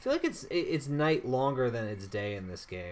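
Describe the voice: What you hear is plain reading aloud.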